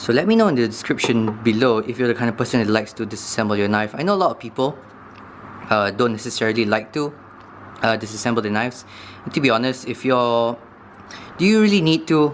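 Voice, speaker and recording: Amid noticeable background noise, a man talks at a very fast pace with ordinary pitch variation, broken by long, frequent pauses. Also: medium pitch for a man. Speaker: knife review youtuber. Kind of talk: tutorial. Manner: casual, hesitant with fillers.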